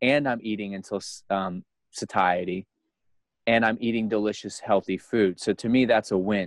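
This man has an unremarkable speaking voice, pitched fairly low, with fairly even intonation at a moderate pace. The sound is dry and close, with no echo. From United States. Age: 30s. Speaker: guest sharing diet experience. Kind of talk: casual interview.

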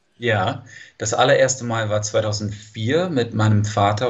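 The speaker has a slight non-native accent and a somewhat breathy voice. The pace is fairly slow, with ordinary pitch variation. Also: man. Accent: near-native German, slight. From California, US. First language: English (speaking German). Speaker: language teacher. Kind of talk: interview. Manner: hesitant, many fillers.

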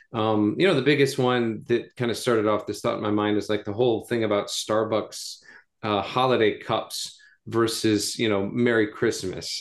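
In a normal speaking voice, a man with an American accent talks at a medium pitch. His pace is fairly quick and his intonation fairly even. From US South (North Carolina). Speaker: pastor. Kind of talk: casual chat.

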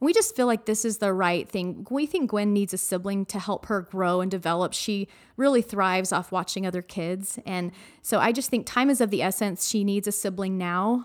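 An American accent marks this woman's unremarkable speaking voice, pitched medium. She talks at a moderate pace. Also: ordinary pitch variation, very clean recording, silent background. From Arizona. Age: 40s. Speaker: mother of a child with Down syndrome. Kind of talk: interview, personal story. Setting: studio.

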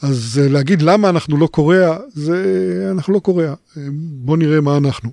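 With very even loudness and a dark, mellow tone, a man speaks at a moderate pace in a fairly high pitch. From Israel, kibbutz. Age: 60s. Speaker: professor, internet researcher. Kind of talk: interview. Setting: studio. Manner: hesitant, frequent fillers.

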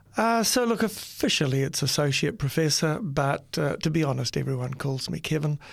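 Fairly high-pitched and somewhat breathy, a man speaks at a moderate pace with lively intonation and hardly any pauses. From New Zealand. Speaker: university dean and teacher. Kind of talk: casual interview, testimony. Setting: studio.

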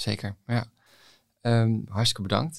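An ordinary speaking voice, a man's fairly low one, moves at a moderate pace with fairly even intonation on a very clean recording with a silent background. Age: young. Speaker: podcast host, young doctor. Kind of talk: podcast interview.

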